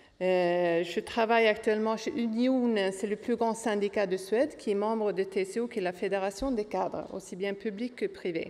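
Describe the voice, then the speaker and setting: Speaking with a Swedish accent, a woman uses a fairly high pitch and fairly even intonation. She moves at a moderate pace with hardly any pauses. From Sweden. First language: Swedish (speaking French). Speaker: trade unionist. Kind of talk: panel talk.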